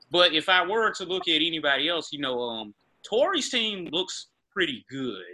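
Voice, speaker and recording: In a Mississippi accent, a man with a high pitch talks at a moderate pace with very wide pitch swings. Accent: US South (Mississippi). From Greenville, Mississippi. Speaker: sports podcast host. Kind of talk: casual chat.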